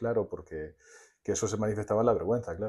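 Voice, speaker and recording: A man talks at a fairly low pitch in a dark, mellow tone. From Spain, Murcia region (Águilas). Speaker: storyteller and psychotherapist. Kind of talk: podcast interview.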